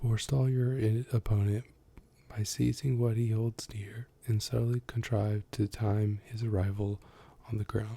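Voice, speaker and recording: A soft-spoken man talks at a fairly slow pace in a medium pitch with a dark, mellow tone. His delivery is monotone and flat, with a dry, close sound and no echo. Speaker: ASMR youtuber. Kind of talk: reading aloud; casual chat. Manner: loud at times.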